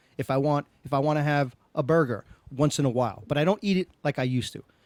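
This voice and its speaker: A man's animated, very fast delivery in a New York accent, fairly high-pitched, with a dry, close sound and no echo. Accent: New York Brooklyn. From Brooklyn, New York. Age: 60s. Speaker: podcast host. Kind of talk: casual chat.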